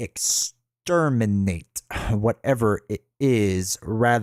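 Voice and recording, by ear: Ordinary pitch variation in natural-voiced reading aloud, the background quiet.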